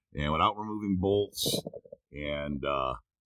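The recording is dry with no echo, as a man speaks against a quiet background. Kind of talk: tutorial. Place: car. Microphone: phone near.

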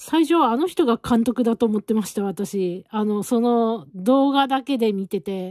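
A woman with a fairly high pitch and a dark, mellow tone speaks at a fairly slow pace with lively intonation, the sound dry with no echo and the background quiet. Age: 40s. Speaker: knitting vlogger. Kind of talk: casual chat. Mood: relaxed, chatty. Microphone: phone near.

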